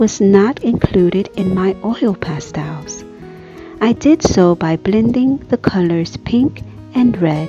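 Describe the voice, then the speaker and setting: Music plays behind a woman speaking at a very slow pace. Her intonation is lively. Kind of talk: art tutorial narration. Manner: soft-spoken, soothing.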